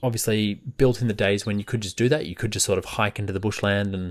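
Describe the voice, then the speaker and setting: A man with an Australian accent, fairly low in pitch and fairly even in intonation, on a very clean recording with a silent background. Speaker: book podcast host. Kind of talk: casual podcast monologue. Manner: casual with many fillers.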